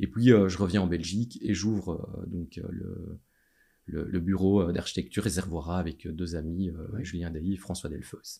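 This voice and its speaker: A man speaks with very deep, low pitch and a dark, mellow tone. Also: fairly even intonation, moderate pace. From Belgium, Châtelet (Charleroi area). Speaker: city chief architect. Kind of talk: interview. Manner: halting, many fillers and repetitions.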